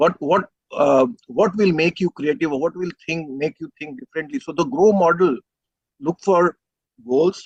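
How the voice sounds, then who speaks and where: A man's high-pitched voice at a fairly slow pace, in a dry, close sound with no echo. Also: lively intonation. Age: 60s. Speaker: panelist. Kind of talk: panel discussion. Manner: halting, with many fillers.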